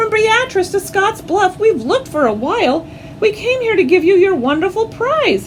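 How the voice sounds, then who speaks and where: Over clear background noise, a woman does a squeaky put-on character voice at an extremely high pitch and a moderate pace. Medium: read story. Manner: jolly, enthusiastic.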